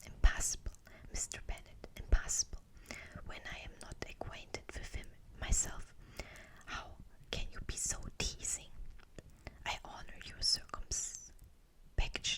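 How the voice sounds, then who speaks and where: The voice whispers at a fairly slow pace. Long, frequent pauses break up the speech. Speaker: ASMR reader. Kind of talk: read story. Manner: whispered.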